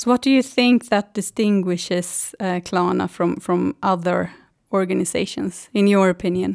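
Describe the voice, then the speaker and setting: Speaking at a moderate pace with a Swedish accent, a woman at a medium pitch shows ordinary pitch variation on a very clean recording with a silent background and a dry, close sound with no echo. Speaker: podcast host, tax lawyer. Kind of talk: interview.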